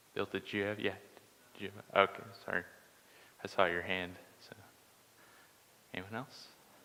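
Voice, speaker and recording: A soft-spoken man talks at a fairly quick pace in a fairly low voice with fairly even intonation. His loudness swings widely, and he takes long, frequent pauses. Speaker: Bible study teacher. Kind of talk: Bible study lesson. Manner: hesitant, many filler words.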